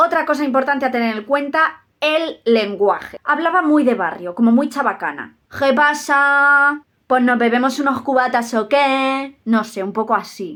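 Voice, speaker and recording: At a fairly slow pace, a woman speaks with high pitch, ordinary pitch variation and a bright, sharp tone, recorded very cleanly against a silent background. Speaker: youtuber on giftedness. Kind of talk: personal vlog monologue. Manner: careful articulation; animated.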